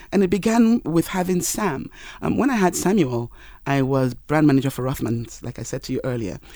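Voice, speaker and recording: Very clean and silent in the background, the recording features a woman with a Yoruba accent and a very deep, low pitch. She talks at a fairly quick pace with very wide pitch swings and a dark, mellow tone. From Nigeria. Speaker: marketing professional. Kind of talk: casual interview chat. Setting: studio.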